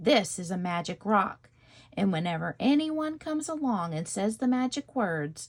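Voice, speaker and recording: A woman puts on a character voice at a medium pitch, her pitch swinging very widely. She keeps a moderate pace on a very clean recording with a silent background. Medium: read story. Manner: sly.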